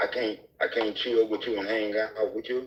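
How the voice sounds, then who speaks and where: Male speech with noticeable background noise, delivered at a moderate tempo. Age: 70s. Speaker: panelist on dating show. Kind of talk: heated debate.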